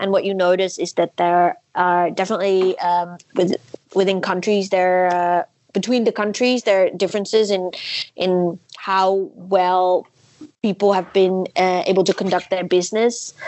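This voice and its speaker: This woman has a Dutch accent. Her intonation is monotone and flat. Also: medium pitch for a woman, fairly slow pace. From Netherlands. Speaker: coffee industry professional. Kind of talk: interview.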